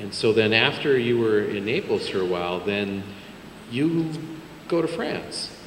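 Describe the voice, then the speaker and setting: Long, frequent pauses amid noticeable background noise. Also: man, medium pitch for a man, lively intonation. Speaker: interviewer. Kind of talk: interview question. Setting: museum event with audience. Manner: hesitant, filler-heavy.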